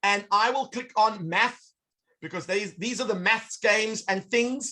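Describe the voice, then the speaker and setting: Raised and projected, a man's bright, sharp voice sounds animated at a fairly slow pace with ordinary pitch variation. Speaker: educational technology presenter. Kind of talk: online workshop demonstration.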